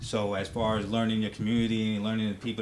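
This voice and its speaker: This man speaks fairly quickly in a fairly low pitch. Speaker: military veteran and law enforcement officer. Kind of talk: casual talk show discussion. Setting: studio. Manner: normally loud, holding it down.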